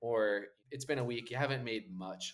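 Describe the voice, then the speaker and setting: A man talks in an unremarkable speaking voice. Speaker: podcast host. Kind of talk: interview.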